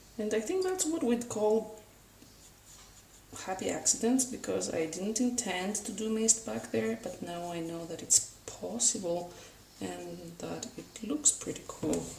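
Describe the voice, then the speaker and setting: A woman talks fairly slowly while noticeable background noise runs underneath. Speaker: art tutorial youtuber. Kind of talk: painting tutorial narration.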